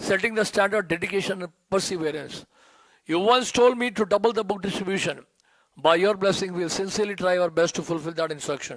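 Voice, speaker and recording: A man with an Indian accent speaks at a very fast pace. His pitch is high, with ordinary variation. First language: Hindi. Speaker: disciple giving a tribute. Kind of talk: reading aloud a prepared tribute; devotional speech.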